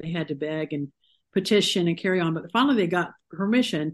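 A woman with an American accent speaks at a fairly quick pace in a normal speaking voice, her fairly low pitch showing ordinary variation against a quiet background. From Ohio, US Midwest. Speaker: author. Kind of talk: interview.

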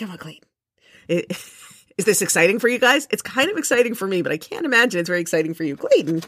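Talking very fast with an American accent, a woman at a medium pitch shows very wide pitch swings and big swings in loudness. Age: 50s. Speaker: podcast host and cat book author. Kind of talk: casual solo monologue. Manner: halting, frequent repetitions.

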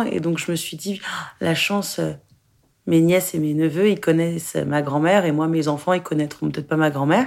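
In a very clean recording with a silent background, a woman speaks at a fairly low pitch and a moderate pace with ordinary pitch variation. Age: 20s. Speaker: actress and film director. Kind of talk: interview testimony. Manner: halting.

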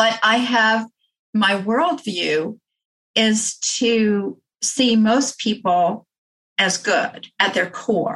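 Very slowly, a woman speaks with ordinary pitch variation. Her tone is fairly bright. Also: medium pitch for a woman.

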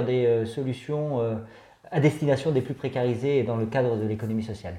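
A man speaks at a moderate pace, his voice somewhat breathy with a dark, mellow tone. His pitch sits in the medium range and moves with ordinary variation. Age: 50s. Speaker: head of a finance association. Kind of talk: interview. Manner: hesitant, many filler sounds.

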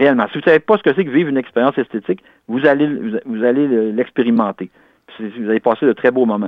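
A man speaks at a very fast pace, his medium pitch showing ordinary variation. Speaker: independent literary researcher. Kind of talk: interview. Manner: halting, many repetitions.

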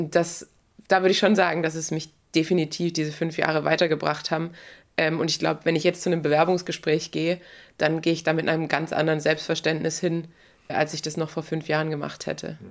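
A woman with a very deep, low pitch and flat, monotone intonation at a fairly quick pace, in a very clean recording with a silent background. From southwestern Germany (Baden-Württemberg). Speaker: retired pro road cyclist. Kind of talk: interview. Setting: studio.

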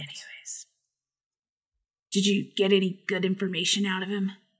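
Recorded very cleanly with a silent background, a woman performs a put-on character voice at medium pitch and a moderate pace. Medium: actual play. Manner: casual, slangy.

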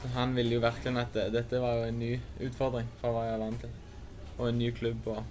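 The speech moves at a fairly quick pace in a monotone, flat intonation, with audible room echo. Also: man, medium pitch for a man. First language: Norwegian (speaking Swedish). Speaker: football player. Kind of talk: interview.

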